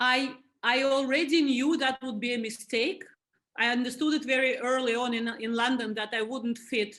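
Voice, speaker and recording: The speaker, with a Russian accent, has a bright, sharp tone and a moderate pace. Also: woman. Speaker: museum board chair. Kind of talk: interview.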